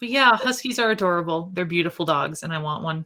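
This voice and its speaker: The woman talks at a very fast pace in a fairly low pitch. Her tone is bright and sharp, with ordinary pitch variation. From rural Minnesota. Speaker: speedrunner, podcast guest. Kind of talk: casual chat.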